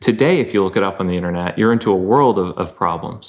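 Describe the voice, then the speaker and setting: The pace here is very fast. It belongs to a male speaker. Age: 30s. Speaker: pastor and writer. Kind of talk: casual interview.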